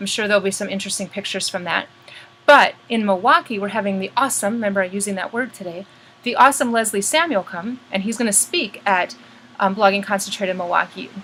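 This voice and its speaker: A woman talks at a very fast pace in a medium pitch with ordinary pitch variation. Noticeable background noise sits behind her. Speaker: blogging community host. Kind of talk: monthly update to members. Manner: animated.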